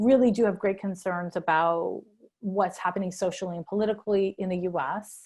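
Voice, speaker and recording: A woman talks at a medium pitch and a moderate pace. Her intonation is fairly even, and the background is quiet. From Canada, Montreal. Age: 40s. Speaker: astrologer. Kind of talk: interview. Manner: hesitant, many fillers.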